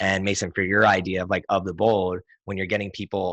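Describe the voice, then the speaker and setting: The recording has a quiet background and a dry, close sound with no echo. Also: man. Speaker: entrepreneur and business consultant hosting a weekly session. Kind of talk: casual online group discussion. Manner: fast; animated.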